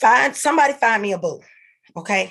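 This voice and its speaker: The voice belongs to a woman. Her pitch varies in an ordinary way. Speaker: livestream host. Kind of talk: livestream rant. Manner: loud; halting.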